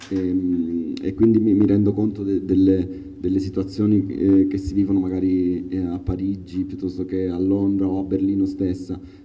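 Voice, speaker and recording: Amid noticeable background noise and audible room echo, a man with a very deep, low pitch talks at a moderate pace in a monotone, flat way. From Calabria, Palmi (Reggio Calabria). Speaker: artist and designer. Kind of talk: public talk.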